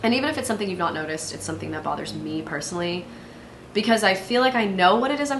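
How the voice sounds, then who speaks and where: A woman's pitch swings very widely. Room echo is audible, along with noticeable background noise. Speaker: solo podcast host. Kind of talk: casual monologue. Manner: fast, filler-heavy.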